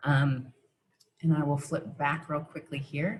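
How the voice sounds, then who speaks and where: At a moderate pace, the somewhat breathy voice keeps a fairly even intonation. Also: woman. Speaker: professional development presenter. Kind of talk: online teacher workshop presentation.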